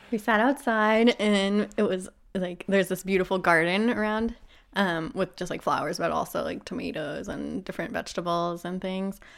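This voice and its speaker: A woman's unremarkable speaking voice at a medium pitch, with ordinary pitch variation and a moderate pace. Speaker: partner of the main guest. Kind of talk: casual interview.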